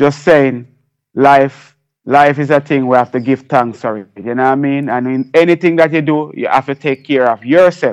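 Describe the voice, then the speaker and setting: Speaking with a Jamaican accent, a man with a fairly high pitch keeps a moderate pace and fairly even intonation. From Jamaica, Kingston. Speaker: reggae and dancehall artist and producer. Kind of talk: radio interview.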